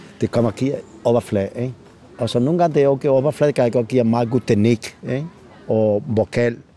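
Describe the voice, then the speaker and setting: Over music in the background, the speech comes at a very fast pace. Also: man, medium pitch for a man, ordinary pitch variation, dry, close sound with no echo. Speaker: flamenco singer. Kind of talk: casual interview. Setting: outdoors. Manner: halting, many fillers and repetitions.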